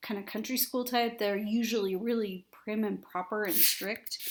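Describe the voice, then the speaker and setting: Using an ordinary speaking voice, a woman talks at a moderate pace with fairly high pitch and ordinary pitch variation. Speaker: teacher. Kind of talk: lecture. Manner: casual, conversational.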